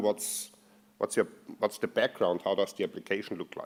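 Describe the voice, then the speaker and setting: A man with an Austrian accent on a very clean recording against a silent background. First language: German. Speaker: software performance engineer. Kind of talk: conference talk. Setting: stage with audience. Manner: halting, many fillers.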